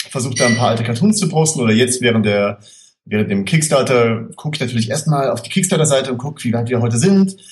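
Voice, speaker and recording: A man with a plain, everyday voice talks at a fairly quick pace with lively intonation. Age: 20s. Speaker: screenwriter. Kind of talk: casual chat.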